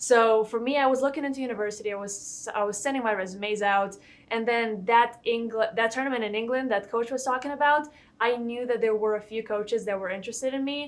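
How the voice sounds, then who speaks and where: Speaking at a very fast pace with a Lithuanian accent, a woman keeps a fairly high pitch and fairly even intonation. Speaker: college golfer. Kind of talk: interview.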